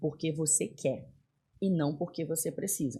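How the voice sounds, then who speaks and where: This woman talks at a moderate pace, her voice somewhat breathy with a dark, mellow tone. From northern Brazil, Belém do Pará. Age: 40s. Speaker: business executive. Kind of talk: podcast interview.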